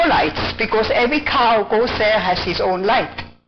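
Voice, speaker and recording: With lively intonation and a fairly high pitch, a woman talks at a moderate pace amid noticeable background noise. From Switzerland. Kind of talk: spoken testimony. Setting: church office.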